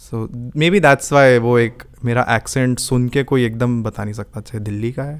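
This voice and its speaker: At a moderate pace with hardly any pauses, a man talks in a medium pitch with ordinary pitch variation. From Delhi, India (from age four). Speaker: musician. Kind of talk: podcast interview. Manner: composed, measured podcast-like delivery.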